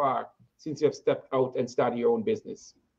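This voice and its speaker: Talking at a very fast pace, a man with a strong Jamaican accent makes very wide pitch swings. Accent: heavy Jamaican. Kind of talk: interview. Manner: halting, repeats words.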